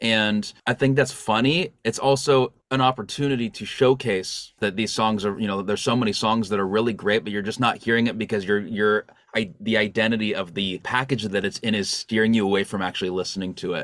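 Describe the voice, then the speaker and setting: Using a normal speaking voice, a man with a fairly low pitch talks at a fairly quick pace with hardly any pauses and ordinary pitch variation. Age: 30s. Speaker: songwriter and music producer. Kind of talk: casual chat. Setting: home studio.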